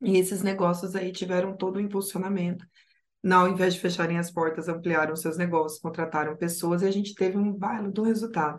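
Her intonation fairly even, a woman with medium pitch talks at a fairly quick pace. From Rio Grande do Sul, Brazil. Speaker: project analyst. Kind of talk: podcast interview.

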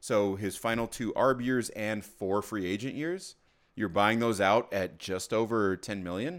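A man speaks at a fairly slow pace in a medium pitch, a plain, everyday voice. The recording is very clean, with a silent background. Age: 30s. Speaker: sports podcast co-host. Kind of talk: casual chat.

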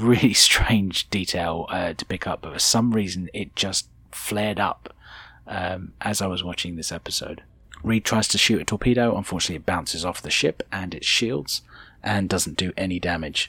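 A man with a British accent, a very deep, low pitch, a bright, sharp tone, ordinary pitch variation and a moderate pace. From Britain. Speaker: podcast host. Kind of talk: solo commentary podcast.

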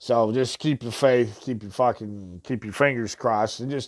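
Recorded very cleanly over a silent background, a man uses an ordinary speaking voice with ordinary pitch variation at a moderate pace. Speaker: podcast host. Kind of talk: angry rant; casual show hosting, music intros. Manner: loud, furious, swearing.

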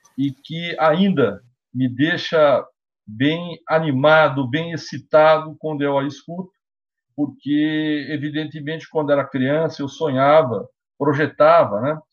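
A man speaking at a very slow pace with fairly even intonation. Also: fairly high pitch for a man. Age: 50s. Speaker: law professor, lawyer and council candidate. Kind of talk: interview.

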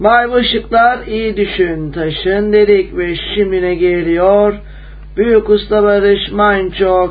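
A high-pitched man at a very slow pace, with noticeable background noise behind him. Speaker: radio host. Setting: radio studio, live broadcast.

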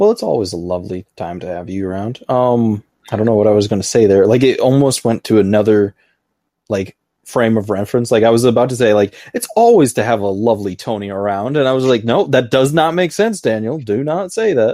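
A man with an American accent speaks at a fairly quick pace, his medium-pitched voice dark and mellow with ordinary pitch variation. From United States. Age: 20s. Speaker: podcast host. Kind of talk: casual chat. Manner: young-sounding.

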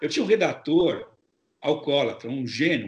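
A somewhat breathy, fairly high male voice against a quiet background. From Brazil, São Paulo. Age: 60s. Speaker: journalist, foreign correspondent. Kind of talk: interview.

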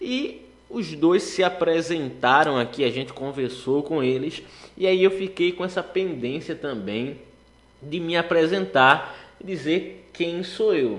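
A man's fairly high voice with lively intonation, at a very slow pace. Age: 20s. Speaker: gospel radio host and law student.

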